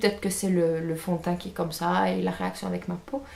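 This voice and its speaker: Noticeable background noise runs beneath speech at a fairly slow pace. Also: woman. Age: 20s. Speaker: beauty and lifestyle vlogger. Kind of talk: casual haul video. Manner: hesitant, many fillers.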